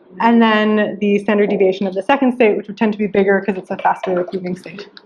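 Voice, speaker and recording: A woman at a medium pitch talks at a very fast pace, her intonation fairly even but her loudness swinging widely. Noticeable background noise sits behind her. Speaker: lecturer. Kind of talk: lecture. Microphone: limited recording equipment, poor quality early on.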